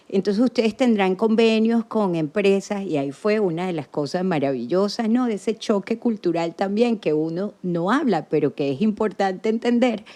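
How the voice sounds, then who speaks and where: In a strong Venezuelan accent, a woman talks at a moderate pace with hardly any pauses, her medium-pitched voice dark and mellow with lively intonation. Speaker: podcast guest, former association president. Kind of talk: casual interview.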